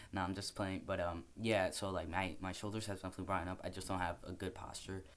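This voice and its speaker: At a very fast pace, a man talks in a monotone, flat intonation with a very deep, low pitch. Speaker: vlogger. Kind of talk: casual vlog update. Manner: casual, hesitant with fillers.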